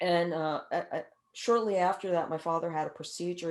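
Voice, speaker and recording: A woman with a fairly low pitch talks at a fairly quick pace with fairly even intonation. The recording is very clean, with a silent background. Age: 60s. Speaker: author and caregiving speaker. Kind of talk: interview. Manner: halting, many repeated words.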